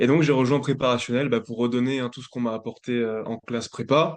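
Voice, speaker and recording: Here a man talks at a very fast pace. His pitch is medium and his intonation monotone and flat. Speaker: student tutor, former athlete. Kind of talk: webinar presentation.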